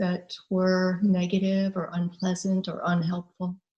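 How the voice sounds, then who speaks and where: Her voice is somewhat breathy and gentle, with a dark, mellow tone at a medium pitch for a woman. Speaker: hypnotherapist and life transformation coach. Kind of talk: guided imagery hypnosis session. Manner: slow, gentle, calming.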